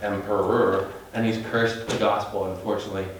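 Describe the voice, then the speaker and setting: A man talks at a fairly slow pace, with audible room echo and noticeable background noise. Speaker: bible teacher. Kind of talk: sermon.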